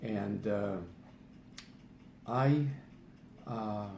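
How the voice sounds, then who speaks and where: A man speaks in a fairly low, somewhat breathy voice with fairly even intonation. Audible room echo surrounds him. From Eastern Europe. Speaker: patient sharing health remedy. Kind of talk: personal testimony video. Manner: halting, many fillers.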